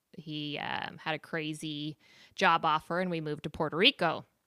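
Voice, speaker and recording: In an American accent, a woman talks at a fairly slow pace with a bright, sharp tone. The recording is very clean, with a silent background. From San Diego, California. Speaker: cancer survivor. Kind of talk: interview.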